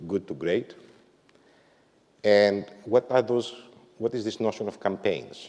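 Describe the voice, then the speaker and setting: A man speaks with a Greek accent. His pace is very slow. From Greece. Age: 50s. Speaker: management consultant and author. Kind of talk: corporate talk. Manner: frequent filler words and hesitations.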